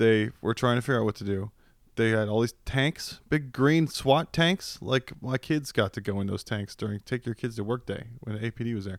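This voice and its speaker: This man has an unremarkable speaking voice, with a medium pitch and ordinary pitch variation, in an American accent at a moderate pace. The recording is very clean, with a silent background. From US East Coast (Virginia/DC). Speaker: podcast co-host. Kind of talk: casual banter. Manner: joking, crude, banter.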